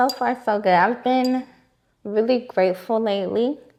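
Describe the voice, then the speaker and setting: Speaking at a fairly slow pace with an American accent, a woman uses medium pitch and ordinary pitch variation in an unremarkable speaking voice. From Florida (West Palm Beach, Winter Haven). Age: 20s. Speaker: registered nurse. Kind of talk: casual interview.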